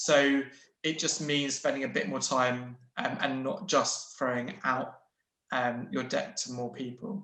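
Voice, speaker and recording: Speaking at a fairly slow pace, a man uses a fairly high pitch with a bright, sharp tone and ordinary pitch variation. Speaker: investment adviser. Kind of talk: webinar Q&A answer. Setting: online webinar. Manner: halting, self-correcting.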